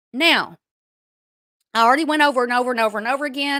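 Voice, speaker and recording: A woman speaks in a high, bright, sharp voice, raised and projected. The recording is very clean with a silent background and a dry, close sound free of echo. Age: 60s. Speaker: YouTube commentary streamer. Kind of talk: live stream rant. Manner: animated.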